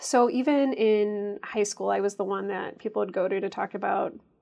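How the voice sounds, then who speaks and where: A woman with a Midwestern American accent speaks at a medium pitch with ordinary pitch variation. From US Midwest, Chicago suburbs. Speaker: obstetrician gynecologist. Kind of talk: interview. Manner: frequent filler ums.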